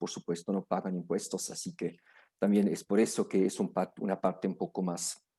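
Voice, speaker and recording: Marked by a strong non-native accent, the voice has a dark, mellow tone and moves at a moderate pace. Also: man. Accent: strong foreign accent in Spanish. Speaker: lawyer. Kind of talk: lecture. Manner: halting, many fillers and restarts.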